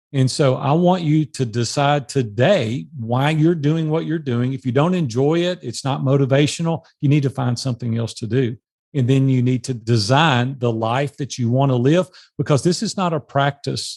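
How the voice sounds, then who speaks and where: A man speaks in a plain, everyday voice at a medium pitch and moderate pace, with ordinary pitch variation. The background is quiet. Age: 60s. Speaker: entrepreneur and mastermind coach. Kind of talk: podcast interview.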